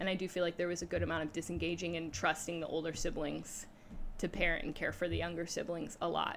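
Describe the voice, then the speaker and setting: A woman speaks very fast in an American accent. Her voice has vocal fry and fairly even intonation. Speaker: youth leader. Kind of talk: interview.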